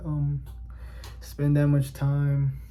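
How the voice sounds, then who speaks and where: Noticeable background noise and audible room echo around a man's voice. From New York City (Bronx/Inwood), Dominican family. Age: 20s. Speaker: vlogger. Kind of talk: casual personal monologue. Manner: halting, many fillers.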